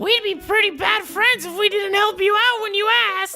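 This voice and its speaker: A put-on character voice at an extremely high pitch moves at a moderate pace over faint background music. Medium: comedy sketch. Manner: sarcastic, mock-sincere.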